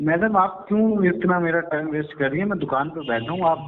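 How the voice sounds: This man talks at a fairly quick pace with a fairly high pitch and ordinary pitch variation. Audible room echo surrounds his voice.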